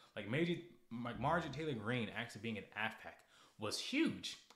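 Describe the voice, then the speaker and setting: There is audible room echo around a man whose intonation is lively. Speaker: political livestreamer. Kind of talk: casual livestream monologue.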